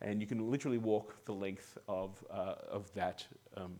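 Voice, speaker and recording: A man with an Australian accent talks at a moderate pace and medium pitch. His pitch varies in an ordinary way, on a very clean recording with a silent background. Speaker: amateur radio club member giving talk. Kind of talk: presentation. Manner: halting, many fillers and repeats.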